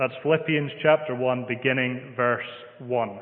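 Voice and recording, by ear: A man with a Scottish accent at a medium pitch and moderate pace, with fairly even intonation and audible room echo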